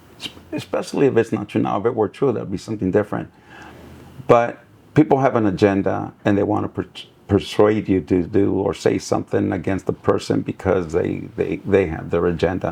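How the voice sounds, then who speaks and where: At a fairly quick pace, a man speaks in a fairly low pitch with a dark, mellow tone, vocal fry and ordinary pitch variation. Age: 60s. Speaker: city mayor. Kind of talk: casual chat. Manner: halting.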